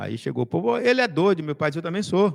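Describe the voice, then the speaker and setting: Recorded with a dry, close sound and no echo, a man with a fairly high pitch speaks with very wide pitch swings. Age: 60s. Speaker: political commentator. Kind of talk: casual chat.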